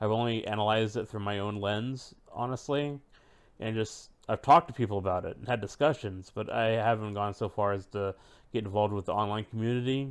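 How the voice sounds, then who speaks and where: An ordinary speaking voice moves at a fairly quick pace with fairly even intonation against a quiet background. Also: man, fairly low pitch for a man. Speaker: podcast co-host. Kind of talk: casual chat.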